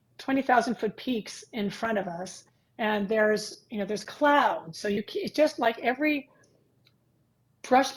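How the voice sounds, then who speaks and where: A woman with an American accent, fairly high pitch, lively intonation, moderate pace and an ordinary speaking voice. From California. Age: 60s. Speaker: pilates and movement instructor trainer. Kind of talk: casual interview chat.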